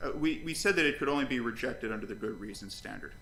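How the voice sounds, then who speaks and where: A man's voice with audible room echo. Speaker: lawyer. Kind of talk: oral argument in court. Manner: fast.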